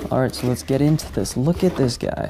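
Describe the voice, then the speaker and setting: With music in the background, a man talks quietly at a fairly quick pace with ordinary pitch variation. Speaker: YouTuber, sneaker channel host. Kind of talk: unboxing video. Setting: at home while others sleep.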